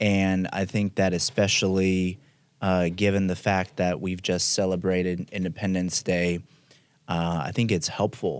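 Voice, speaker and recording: A man speaks in a very deep, low pitch at a fairly slow pace with monotone, flat intonation. The recording is very clean, with a silent background. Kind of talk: interviewer.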